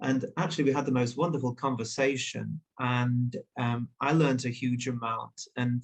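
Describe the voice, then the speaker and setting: A man with a British accent speaks at a moderate pace in a medium pitch, somewhat breathy, with fairly even intonation. His loudness stays very even, and there are hardly any pauses. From northern England, Leeds. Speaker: journalist and author. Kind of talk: interview. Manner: hesitant, many fillers.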